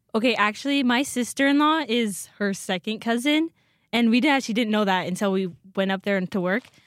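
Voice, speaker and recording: In a very clean recording with a silent background and a dry, close sound with no echo, a woman with an American accent speaks at a fairly high pitch and fairly quick pace, her loudness very even and her pitch varying in an ordinary way. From north central Washington. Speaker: university student. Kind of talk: casual interview.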